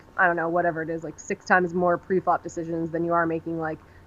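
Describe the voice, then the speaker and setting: A woman's fairly low voice at a fairly quick pace. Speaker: professional poker player. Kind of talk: poker strategy hand review discussion. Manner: fast; casual, many fillers.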